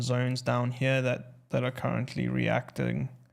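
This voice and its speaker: Noticeable noise in the background accompanies a man talking at a moderate speed. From South Africa. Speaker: trading streamer. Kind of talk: live stream market analysis. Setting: live stream. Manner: casual, filler-heavy.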